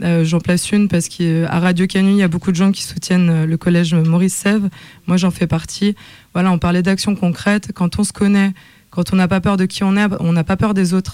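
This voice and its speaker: A woman talks at a fairly quick pace. Her intonation is monotone and flat, her loudness very even. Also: medium pitch for a woman. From Lyon, France. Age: young. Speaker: MC and singer. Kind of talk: radio panel discussion.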